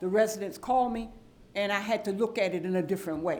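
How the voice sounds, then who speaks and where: A woman speaks with audible room echo. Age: 70s. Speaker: council member. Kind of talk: public meeting debate. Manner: animated.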